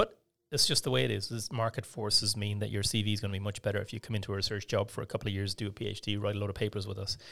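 A man talks at a very fast pace with hardly any pauses, fairly even intonation and a fairly low pitch with vocal fry. The recording is very clean with a silent background. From west of Ireland. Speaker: surgeon. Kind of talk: interview. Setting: studio.

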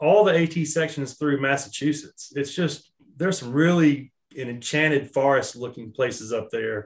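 A man with an American accent speaks in an ordinary speaking voice, pitched fairly high. His pace is moderate and his pitch variation ordinary. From Charlotte, North Carolina. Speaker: small business owner, outdoor apparel company. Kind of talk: casual interview. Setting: remote recording.

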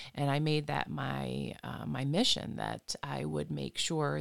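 In an Upper Midwest accent, a voice speaks at a very slow pace on a very clean recording with a silent background and a dry, close sound with no echo. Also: woman. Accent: Upper Midwest American. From Michigan, Flint area. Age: 40s. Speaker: reflexologist and hypnotherapist. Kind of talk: interview.

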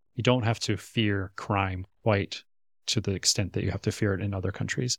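A man talks at a fairly quick pace and a fairly low pitch, his intonation fairly even. The recording is very clean with a silent background and a dry, close sound with no echo. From US Midwest, Minnesota. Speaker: relationship coach and podcast co-host. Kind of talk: casual chat.

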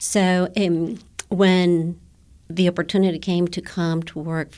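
Fairly low-pitched woman in a Guatemalan accent, very slow and monotone with flat intonation, on a very clean recording with a silent background. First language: Spanish. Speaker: elementary Spanish teacher. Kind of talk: interview. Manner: hesitant, with fillers.

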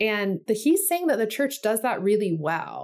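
The recording is very clean with a silent background, and the woman's voice is medium in pitch. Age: 40s. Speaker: church consultant and guide creator. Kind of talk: instructional tutorial with example interview.

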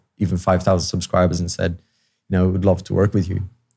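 On a very clean recording with a silent background, a man speaks in a very deep, low voice with a dark, mellow tone. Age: 40s. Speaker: YouTube tech content creator. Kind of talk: casual chat. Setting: studio. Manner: halting, with repeated words and fillers.

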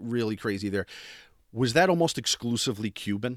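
A plain, everyday voice at a moderate pace with lively intonation, captured in a very clean recording over a silent background. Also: man. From northern New Jersey. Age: 40s. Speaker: podcast host. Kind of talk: casual interview.

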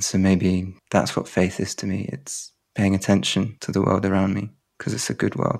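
In a southern English accent, a man speaks with a very deep, low pitch. His intonation is fairly even and his pace moderate. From southern England. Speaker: poet. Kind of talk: interview conversation. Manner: halting.

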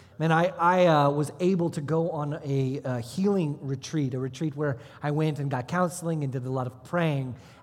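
A somewhat breathy man's voice, fairly high in pitch, with fairly even intonation and a moderate pace. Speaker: pastor. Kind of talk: sermon. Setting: church service with congregation.

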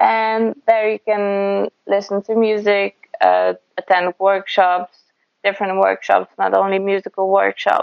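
The speaker has a Polish accent. The pace is fairly slow. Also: woman. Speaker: folk singer. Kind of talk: interview. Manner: halting.

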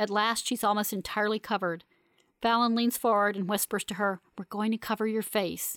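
Someone reading aloud in a natural voice

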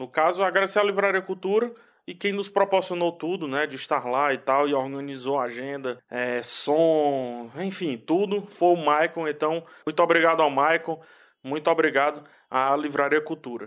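Against a quiet background, the speaker goes at a moderate pace with ordinary pitch variation. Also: man, fairly high pitch for a man. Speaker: podcast host.

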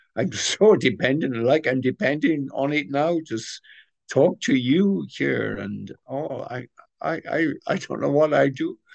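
Here a man speaks in a Welsh accent. His pace is moderate and his intonation lively. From Wales. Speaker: retired pastor and author. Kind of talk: interview. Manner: hesitant, many fillers.

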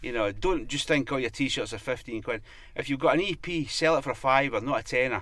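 Speaking at a fairly quick pace, a man with a medium pitch and a bright, sharp tone uses ordinary pitch variation. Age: 50s. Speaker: music promoter and artist manager. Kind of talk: interview.

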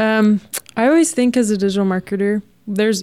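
A woman's fairly high voice in an American accent, an unremarkable speaking voice, with ordinary pitch variation at a moderate pace. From Texas. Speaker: digital marketer. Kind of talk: radio interview. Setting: radio studio.

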